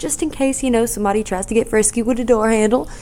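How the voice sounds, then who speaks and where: A woman is soft-spoken. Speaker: podcast host. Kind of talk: casual chat. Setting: at home in apartment. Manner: quiet, soft-spoken.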